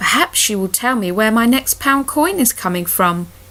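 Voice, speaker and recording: A woman uses a put-on character voice at a fairly high pitch. She speaks at a moderate pace over light background noise. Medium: read story. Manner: polite, earnest.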